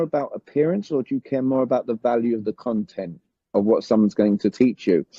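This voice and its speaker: The speaker has a British accent. Pitch rises and falls by an ordinary amount. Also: man. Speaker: communication coach. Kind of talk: summit interview.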